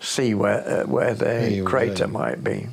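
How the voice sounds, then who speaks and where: A man speaks with a Yorkshire accent. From Sheffield, England. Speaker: retired local government worker. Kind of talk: interview answer. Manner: hesitant, many fillers.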